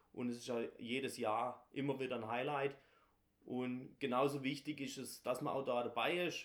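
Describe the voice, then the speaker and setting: With monotone, flat intonation, a man speaks at a moderate pace. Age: 30s. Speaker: carnival guild leader. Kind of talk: interview.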